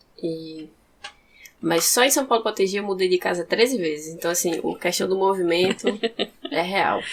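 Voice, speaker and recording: A woman speaks at medium pitch and a moderate pace, with ordinary pitch variation. Her delivery has long, frequent pauses. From interior of Rio Grande do Norte, Brazil. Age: 20s. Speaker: poet and philosophy student. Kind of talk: podcast interview.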